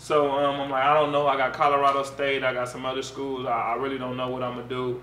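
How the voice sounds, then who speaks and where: Light background noise and audible room echo accompany a man speaking in a medium pitch. He talks very fast with monotone, flat intonation and hardly any pauses. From Pasadena, Los Angeles area; California. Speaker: former college football player; interview guest. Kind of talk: casual interview. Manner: relaxed, conversational. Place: home room.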